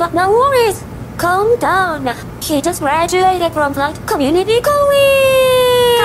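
A cartoonish character voice at an extremely high pitch speaks at a fairly slow pace over loud background noise. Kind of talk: comic in-flight announcement. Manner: breezy, dismissive.

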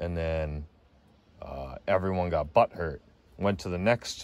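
A man speaks with a low voice. His pace is fairly slow.

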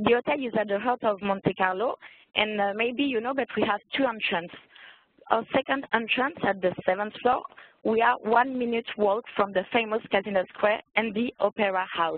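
Someone with a French accent talks at a moderate pace, with ordinary pitch variation. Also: woman, fairly high pitch for a woman. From France. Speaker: hotel events coordinator. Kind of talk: sales presentation.

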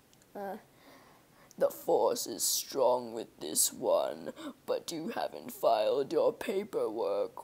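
Delivered at a very slow pace, this is a put-on character voice. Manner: menacing, drawling.

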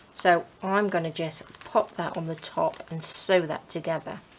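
Against light background noise, a woman speaks with a fairly low pitch. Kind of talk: casual crafting tutorial chat. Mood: relaxed, cheerful.

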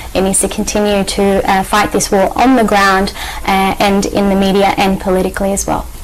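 Over light background noise, a woman with an Australian accent speaks at a moderate pace in a monotone, flat intonation with very even loudness. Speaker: journalist and activist. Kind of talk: TV interview. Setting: TV studio. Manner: halting, many fillers. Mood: earnest, calm. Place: studio.

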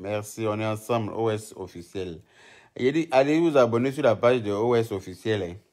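Against a quiet background, a man talks at a fairly slow pace in a fairly low pitch, with ordinary pitch variation. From Côte d'Ivoire. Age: 30s. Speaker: social media live streamer. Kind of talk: casual live stream chat. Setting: live video stream. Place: home room. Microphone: phone near.

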